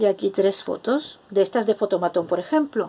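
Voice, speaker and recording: A woman's dark, mellow voice with lively intonation and vocal fry. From Spain. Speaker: craft video maker. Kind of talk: tutorial. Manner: casual. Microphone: phone near.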